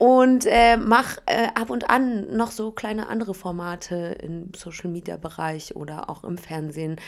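A woman speaks in an unremarkable speaking voice at a fairly slow pace with hardly any pauses. Her loudness swings a lot. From Berlin, Germany. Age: 30s. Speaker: reality TV contestant and radio host. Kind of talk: casual interview chat. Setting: hotel room.

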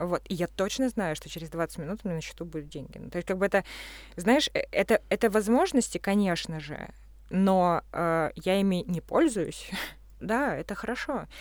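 A woman with an ordinary speaking voice talks at a moderate pace with lively intonation and big swings in loudness. The recording is very clean, with a silent background. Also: medium pitch for a woman. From Russia. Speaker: architect and artist. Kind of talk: casual chat.

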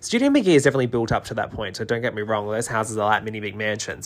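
The voice is a man's, with a bright, sharp tone. The recording is very clean, the background silent. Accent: Australian. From Australia, New South Wales. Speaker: interior designer and podcast host. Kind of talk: solo podcast talk.

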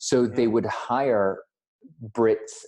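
A man talks in a dark, mellow tone against a quiet background. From United States. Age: 40s. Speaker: designer. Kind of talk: casual chat. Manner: animated.

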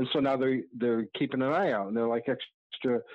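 A man with an American accent talks in a normal speaking voice, with medium pitch and fairly even intonation. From Maine and Connecticut, US. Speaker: zine maker and concert photographer. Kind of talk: casual chat.

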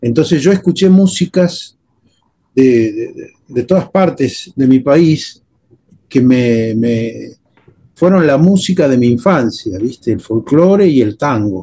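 A man with a fairly high pitch speaks at a very slow pace, his voice somewhat breathy. His intonation is lively. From Argentina, Buenos Aires suburbs (Temperley). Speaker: guitarist and composer. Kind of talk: casual interview conversation.

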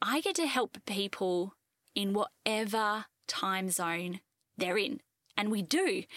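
A woman speaks in an unremarkable speaking voice at a medium pitch with ordinary pitch variation. The sound is dry and close, with no echo. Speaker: fertility life coach, podcast host. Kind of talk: solo podcast monologue, informal explanation. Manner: warm, conversational.

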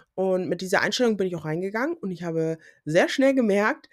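A woman is speaking. Her intonation is lively. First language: English (Pidgin at home) (speaking German). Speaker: podcaster, student. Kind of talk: solo podcast monologue. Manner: casual with English interjections.

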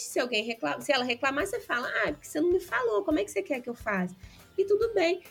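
Music plays in the background as a woman speaks at a high pitch with very wide pitch swings. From interior of Rio de Janeiro state, Brazil. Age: 20s. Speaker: podcast guest. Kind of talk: casual interview chat.

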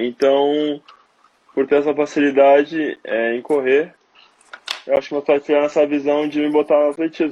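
At a moderate pace, a man with a fairly high pitch speaks in a flat monotone, leaving long, frequent pauses. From southern Brazil, Porto Alegre. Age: 20s. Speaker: long jump athlete. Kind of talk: interview testimony. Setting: Instagram live video call.

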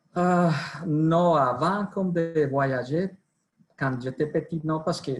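A man with a Colombian accent sounds somewhat breathy, his pitch varying in an ordinary way. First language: Spanish (speaking French). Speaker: sales director. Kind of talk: interview. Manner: halting, mixing Spanish into French.

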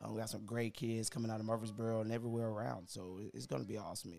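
At a very fast pace, a man speaks with a fairly low pitch, fairly even intonation and a dark, mellow tone. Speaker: youth basketball coach. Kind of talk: casual chat.

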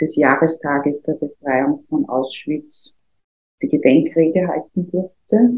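This woman has a dark, mellow tone. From Austria, Vienna. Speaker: trade union official. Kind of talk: interview. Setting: studio.

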